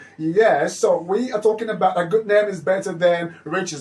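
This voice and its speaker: Noticeable background noise sits behind a man talking at a moderate pace in a high pitch with ordinary pitch variation. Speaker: radio host. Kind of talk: children's radio show. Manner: animated.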